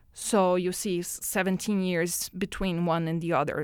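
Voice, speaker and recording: On a very clean recording with a silent background, a woman with a Portuguese accent speaks at a medium pitch and a fairly slow pace. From Brazil. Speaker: oceanographer. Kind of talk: interview. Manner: halting.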